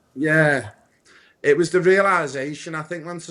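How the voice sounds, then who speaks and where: The voice has a Liverpool accent. It moves at a very fast pace. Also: man. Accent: Liverpool (Scouse). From Liverpool, England. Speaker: football coach and community founder. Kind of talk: podcast interview.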